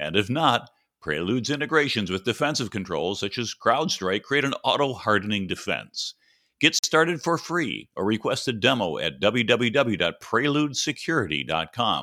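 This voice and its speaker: A man with a medium-pitched voice speaks at a moderate pace in a bright, sharp tone, with vocal fry and very wide pitch swings. The recording is very clean, with a silent background. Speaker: podcast host. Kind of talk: interview.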